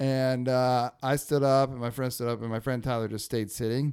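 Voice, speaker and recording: On a very clean recording with a silent background, a man with an American accent uses an ordinary speaking voice at medium pitch and a fairly quick pace. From northern California, Humboldt. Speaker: podcast host. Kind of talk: casual chat.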